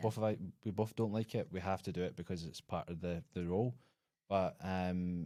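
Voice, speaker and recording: On a very clean recording with a silent background, a man with a very deep, low pitch and a dark, mellow tone speaks at a moderate pace with fairly even intonation. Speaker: podcast host. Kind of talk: casual podcast conversation.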